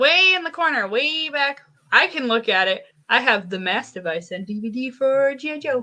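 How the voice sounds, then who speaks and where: A woman's high, raised, projected voice at a moderate pace, with very wide pitch swings. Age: 20s. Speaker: podcast guest. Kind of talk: casual chat.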